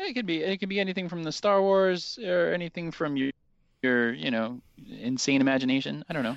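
A man with an unremarkable speaking voice talks fairly quickly at a fairly high pitch, using lively intonation.

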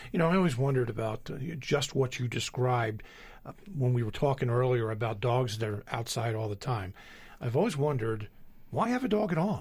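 With an American accent, the speaker moves at a fairly quick pace, sounding somewhat breathy with lively intonation. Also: man, medium pitch for a man. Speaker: radio host. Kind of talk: radio interview. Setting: studio.

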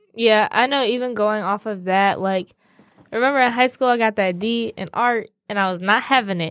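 A woman talks at a fairly quick pace in a fairly high voice with ordinary pitch variation. It is an ordinary speaking voice. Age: 20s. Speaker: college student, host's daughter. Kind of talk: casual interview. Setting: studio.

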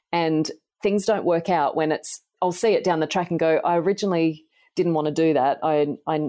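This woman, speaking in an Australian accent, has a very deep, low pitch and a dark, mellow tone. The sound is dry and close with no echo, in a very clean recording with a silent background. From Australia, country New South Wales. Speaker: nutritional biochemist and author. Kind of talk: podcast interview.

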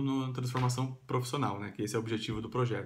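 In a room with audible echo, a man speaks in a monotone with flat intonation. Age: 30s. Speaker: vlogger. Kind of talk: vlog monologue. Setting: at home. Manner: casual with fillers.

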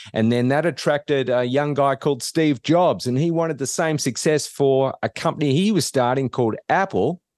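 In an Australian accent, a man talks with lively intonation, his sound dry and close with no echo against a quiet background. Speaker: business professor. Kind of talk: interview.

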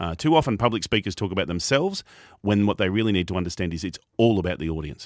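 In an Australian accent, a man rattles along at a very fast pace, his fairly low pitch moving with lively intonation. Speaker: professional speaker and podcast host. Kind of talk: radio interview.

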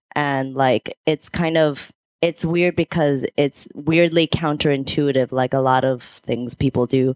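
At a moderate pace, a woman speaks at a very deep, low pitch with fairly even intonation, the sound dry and close with no echo. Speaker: comics podcast panelist. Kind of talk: casual chat.

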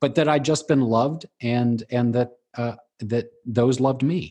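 A somewhat breathy man at a fairly slow pace over a quiet background. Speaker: speaker, author and life coach. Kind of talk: casual interview. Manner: halting, many fillers and restarts.

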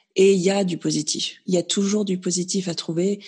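At a moderate pace, a woman speaks in a somewhat breathy voice at a medium pitch. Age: 30s. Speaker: naturopath sharing her fertility journey. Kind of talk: interview testimony.

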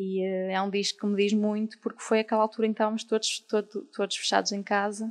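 Her medium-pitched delivery is very fast and flat, with hardly any pauses, as the woman's voice comes through dry and close with no echo. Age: 20s. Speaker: artist and designer. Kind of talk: casual interview. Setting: live recording with audience.

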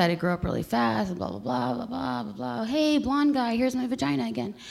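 Speaking with an American accent, a woman makes very wide pitch swings while noticeable background noise runs underneath. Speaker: storyteller. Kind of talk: live storytelling. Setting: stage with audience. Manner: halting, many fillers.

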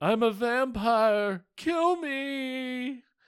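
A man is doing a put-on character voice. It sits at an extremely high pitch. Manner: pleading.

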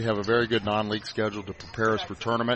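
A man with a fairly low pitch talks at a very fast pace over noticeable background noise. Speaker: high school basketball head coach. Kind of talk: casual pregame interview.

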